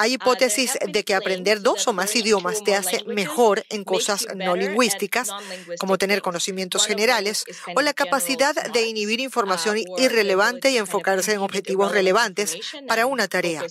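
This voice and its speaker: Noticeable background noise runs behind a woman speaking at a moderate pace. Her pitch is medium, with ordinary variation. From Russia. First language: Russian (speaking Spanish). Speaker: neuroscience professor. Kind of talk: interview.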